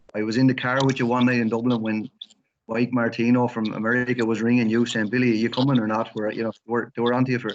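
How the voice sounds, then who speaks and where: Talking at a very fast pace in an Irish accent, a man with a medium pitch keeps a monotone, flat intonation. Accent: Irish, Wexford. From Ireland, Wexford town. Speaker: interviewer. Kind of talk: interview.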